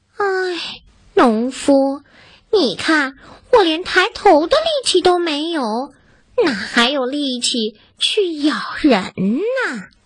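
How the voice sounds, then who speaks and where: Putting on a character voice with an extremely high pitch, a woman speaks very slowly, leaving long, frequent pauses. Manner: weak, feeble.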